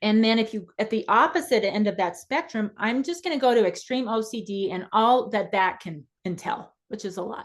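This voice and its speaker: A woman speaks in a plain, everyday voice, fairly high in pitch, with ordinary pitch variation. Her pace is moderate, and the background is quiet. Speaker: therapist presenter. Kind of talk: webinar lecture.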